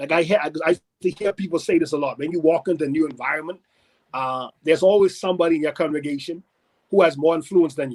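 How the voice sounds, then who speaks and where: Speech comes at a very fast pace in a Bahamian accent. The sound is dry and close with no echo, and the intonation stays fairly even. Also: man, fairly high pitch for a man. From Bahamas. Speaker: pastor. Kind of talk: interview conversation.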